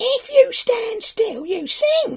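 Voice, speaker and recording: A squeaky, put-on character voice at an extremely high pitch. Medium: read story.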